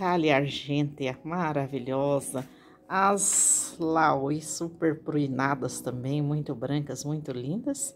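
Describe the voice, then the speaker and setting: Speaking at a very slow pace, a woman uses a very deep, low pitch with fairly even intonation. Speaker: gardening youtuber. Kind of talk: tutorial.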